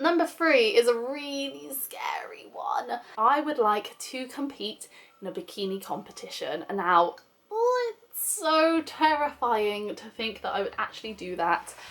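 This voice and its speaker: A high-pitched woman with a West Country accent, very wide pitch swings and big swings in loudness, amid noticeable background noise. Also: fairly slow pace. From England, Somerset. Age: 20s. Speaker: vlogger. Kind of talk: personal vlog. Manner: casual.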